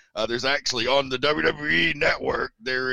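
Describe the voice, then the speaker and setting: A man with an American accent talks at a moderate pace and medium pitch, with ordinary pitch variation and a bright, sharp tone. Vocal fry is present, and the sound is dry and close with no echo. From Tennessee, US South. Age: 40s. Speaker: wrestling announcer and commentator. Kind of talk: casual interview chat.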